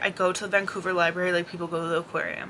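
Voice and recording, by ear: A bright, sharp tone in a monotone, flat intonation. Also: woman.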